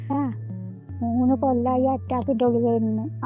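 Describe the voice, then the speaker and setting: A woman is speaking. Audible room echo and music can be heard in the background. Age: 80s+. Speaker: farmer. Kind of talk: interview.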